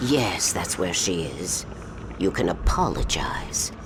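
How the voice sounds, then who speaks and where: Someone whispers in a put-on character voice at a fairly slow pace. Loud background noise fills the recording. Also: man. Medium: video game. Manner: whispering, insidious.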